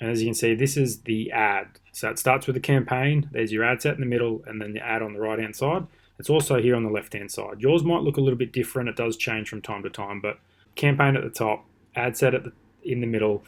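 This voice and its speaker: Pitch moves in an ordinary way as the delivery runs at a fairly quick clip. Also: man. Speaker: online marketing teacher; online marketing tutor. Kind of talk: screen-recorded tutorial. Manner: fast; casual. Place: home room. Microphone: webcam.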